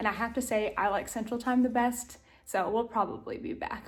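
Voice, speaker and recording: A woman with a Southern US accent speaks in a high, animated voice at a moderate pace. Noticeable background noise runs behind her. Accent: Southern American. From US South, Tennessee. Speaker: lifestyle vlogger. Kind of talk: casual vlog talk to camera.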